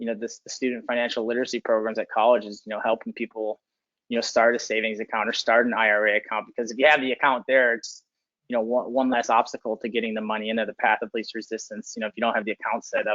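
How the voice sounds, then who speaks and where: A man rattles along at a very fast pace in a flat monotone at medium pitch. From Chicago, US Midwest. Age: 20s. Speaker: former college football player. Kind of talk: interview. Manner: many fillers, 'you know' repeated.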